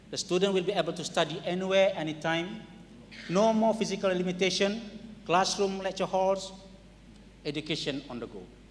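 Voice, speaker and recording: With a Malaysian accent and a high pitch, a man talks at a fairly quick pace, making big swings in loudness and long, frequent pauses over light background noise. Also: fairly even intonation. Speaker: qualification agency chief, panellist; panellist. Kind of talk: panel discussion. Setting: stage with audience. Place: hall. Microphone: handheld.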